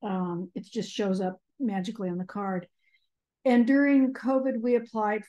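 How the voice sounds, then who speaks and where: A woman with an unremarkable speaking voice, ordinary pitch variation and a fairly slow pace, against a quiet background. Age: 60s. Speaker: kinship caregiver, house cleaner. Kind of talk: audience question.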